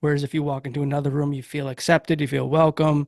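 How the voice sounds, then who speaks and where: Monotone and flat, a man with a Massachusetts accent speaks in a fairly high pitch, the sound dry and close with no echo. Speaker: podcast host. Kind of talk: interview.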